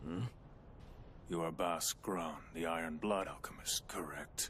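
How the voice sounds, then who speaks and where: A man puts on a cartoonish character voice, very deep and low, with a menacing tone at a fairly slow pace. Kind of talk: anime dub. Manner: cold, menacing.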